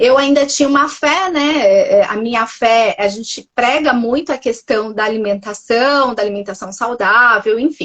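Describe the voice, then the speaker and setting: A woman's high-pitched voice in a Minas Gerais accent, at a moderate pace with hardly any pauses and ordinary pitch variation. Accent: mineiro. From Minas Gerais, Brazil. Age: 40s. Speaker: nutritionist. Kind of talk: testimony. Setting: Instagram live podcast.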